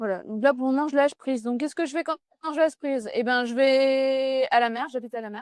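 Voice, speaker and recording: A loud, high-pitched woman's voice at a very fast pace, with ordinary pitch variation and a dry, close sound without echo. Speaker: business coach. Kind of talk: interview.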